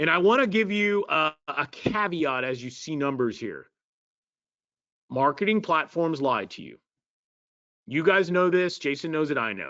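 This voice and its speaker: A fairly high-pitched man speaks at a moderate pace with lively intonation, big swings in loudness, and long, frequent pauses. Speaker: marketing presenter. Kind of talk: live webinar presentation.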